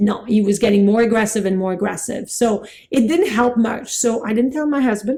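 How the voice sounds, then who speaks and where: Somewhat breathy and fairly high, a woman's voice moves at a fairly quick pace with ordinary pitch variation. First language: French. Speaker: acupuncture teacher. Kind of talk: lecture. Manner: animated.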